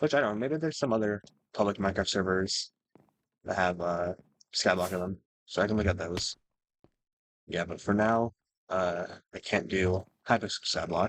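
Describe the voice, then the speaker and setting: A man speaks with a very deep, low pitch and ordinary pitch variation. The sound is dry and close with no echo, broken by long, frequent pauses. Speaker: gaming youtuber. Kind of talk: gameplay commentary. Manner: fast.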